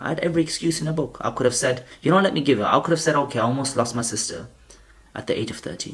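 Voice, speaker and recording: A man at a very fast pace, animated in tone and somewhat breathy, with ordinary pitch variation. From Pakistan. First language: not English; English is his third language. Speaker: student advice vlogger. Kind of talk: motivational talk to camera. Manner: animated, with repetitions and self-corrections.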